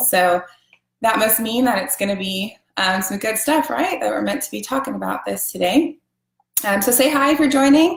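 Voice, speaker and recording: A woman talks with vocal fry at a moderate pace. Her pitch variation is ordinary. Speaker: essential oils seller. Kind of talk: live stream class. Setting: live video stream. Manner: casual, filler words.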